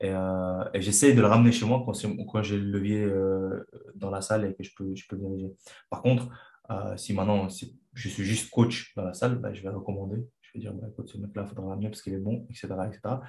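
Pitched fairly low, a man's somewhat breathy voice has a dark, mellow tone, monotone, flat intonation, and big swings in loudness. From Chechnya. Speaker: kickboxing coach and former fighter. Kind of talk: interview. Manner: halting.

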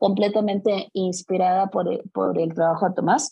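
Speaking in a Mexican accent, a woman has a dark, mellow tone and a fairly slow pace. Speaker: personal fitness trainer. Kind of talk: casual interview.

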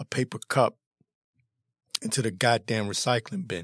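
A man in a dry, close sound with no echo. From Washington, D.C. area. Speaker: political commentary podcaster. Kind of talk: opinion monologue. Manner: animated.

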